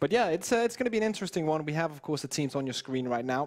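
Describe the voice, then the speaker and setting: This man's voice sits fairly high in pitch. It swings very widely from low to high. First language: not English. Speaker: esports caster. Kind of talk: casual analysis chat.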